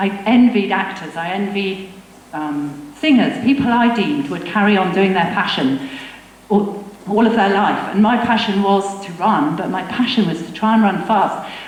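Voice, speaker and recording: A medium-pitched woman with an English accent, lively intonation and a moderate pace, amid audible room echo and noticeable background noise. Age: 60s. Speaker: veteran runner. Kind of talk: talk to a live audience. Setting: stage with audience.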